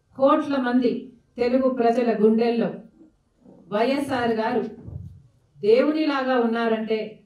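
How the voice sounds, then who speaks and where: With audible room echo and a quiet background, a woman talks in a high pitch with fairly even intonation. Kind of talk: political speech. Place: hall.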